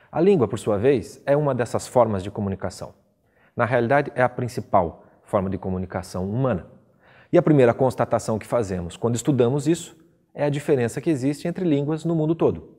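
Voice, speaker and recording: Lively intonation marks this man's speech at a fairly quick pace. His medium-pitched voice has a dark, mellow tone. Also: very clean recording, silent background. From Brazil, Curitiba (Paraná). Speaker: teacher. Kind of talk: lecture.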